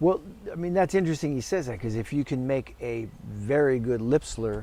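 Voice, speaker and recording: Here is a man with an ordinary speaking voice. His pitch is medium and his pace moderate. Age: 60s. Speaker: orchestral trumpet player and teacher. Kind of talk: casual interview.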